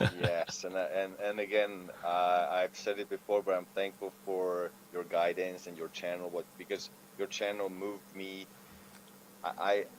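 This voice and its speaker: A man's very deep, low voice in a non-native accent, fairly slow and monotone, with flat intonation. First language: not English. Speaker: freestyle rapper. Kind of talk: casual chat. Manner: halting.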